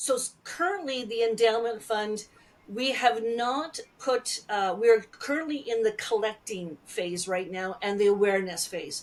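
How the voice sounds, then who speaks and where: Lively intonation in a Canadian accent over noticeable background noise. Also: woman, fairly high pitch for a woman, fairly slow pace. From Alberta, Canada. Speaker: Métis speaker and storyteller. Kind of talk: interview answer.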